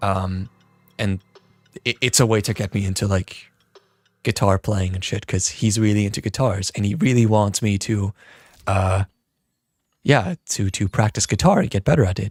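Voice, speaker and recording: Recorded very cleanly against a silent background, a man with a slight non-native accent and a fairly low pitch speaks at a moderate pace, somewhat breathy, with ordinary pitch variation, long, frequent pauses and a dry, close sound with no echo. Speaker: music producer and streamer. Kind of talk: casual livestream chat. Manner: halting, stumbling.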